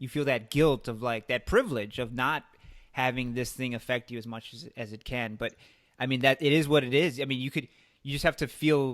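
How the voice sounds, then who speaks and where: In a Chicago accent, a man speaks at medium pitch with fairly even intonation and a fairly quick pace. His loudness swings widely, and the recording is very clean with a silent background. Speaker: podcast host. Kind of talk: casual chat.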